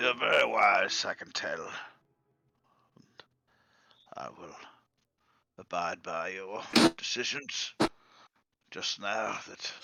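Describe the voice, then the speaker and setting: Delivered in a put-on character voice, the raspy speech comes at a very slow pace with long, frequent pauses. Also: man. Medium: actual play. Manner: formal, courteous.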